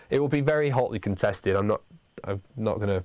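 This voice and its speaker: Very fast in pace, a man with a northern English accent speaks in a fairly low pitch with ordinary pitch variation. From northern England. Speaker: university lecturer. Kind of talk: livestream Q&A for students. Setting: studio livestream. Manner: halting, many fillers.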